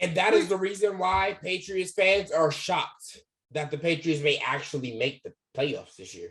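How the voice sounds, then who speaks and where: A man speaks at a moderate pace in a high pitch, with ordinary pitch variation. His loudness swings widely. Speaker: sports YouTuber. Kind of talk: heated sports debate. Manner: animated.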